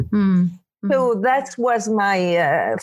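With a French accent, a woman speaks at a medium pitch with ordinary pitch variation. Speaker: spiritual teacher. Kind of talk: interview. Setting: remote call.

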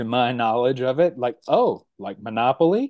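A man with an ordinary speaking voice talks at a fairly slow pace with lively intonation. The sound is dry and close with no echo, over a quiet background. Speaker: content creator. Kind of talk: casual interview chat.

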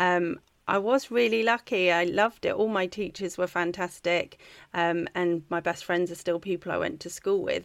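A woman talks at a moderate pace. The recording is very clean, with a silent background. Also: medium pitch for a woman, ordinary pitch variation. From England (Wiltshire). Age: 40s. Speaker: charity founder, ex-military. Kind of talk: interview.

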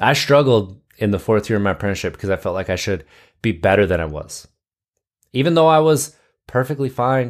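In a very clean recording with a silent background, a man with an American accent and a normal speaking voice talks at a fairly quick pace with lively intonation. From US Midwest, Wisconsin. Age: 30s. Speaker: podcast host, lineman in recovery. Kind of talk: personal testimony monologue.

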